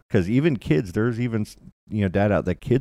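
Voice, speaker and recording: Against a quiet background, a man with a dark, mellow tone and vocal fry talks at a fairly quick pace with lively intonation. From Kentucky, Louisville. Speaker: podcaster. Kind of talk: casual chat.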